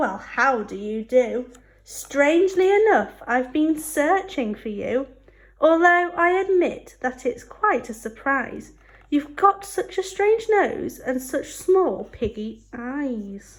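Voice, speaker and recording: Growling in a put-on character voice, a woman talks at a high pitch and a fairly slow pace. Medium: read story. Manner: growling, snarling.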